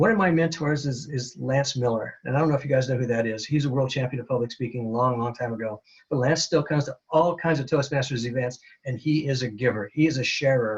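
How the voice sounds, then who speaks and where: Very fast and somewhat breathy, a man speaks at medium pitch. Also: ordinary pitch variation. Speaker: Toastmasters speaker and presenter. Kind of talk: webinar presentation. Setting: webinar.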